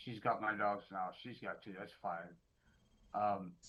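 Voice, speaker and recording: A man talks at a moderate pace. Music can be heard behind him. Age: 60s. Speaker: defendant. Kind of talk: court hearing. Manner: halting.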